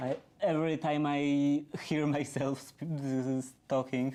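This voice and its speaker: A woman with a Polish accent, very deep and low in pitch, dark and mellow in tone, at a very slow pace. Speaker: DIY streamer. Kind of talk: casual livestream chat. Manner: halting, many pauses and repeats.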